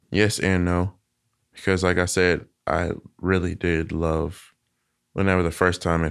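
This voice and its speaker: On a very clean recording with a silent background, a man speaks in a monotone with flat intonation. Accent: Southern US. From Arkansas, US South. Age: 20s. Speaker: interviewee sharing personal story. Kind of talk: casual interview.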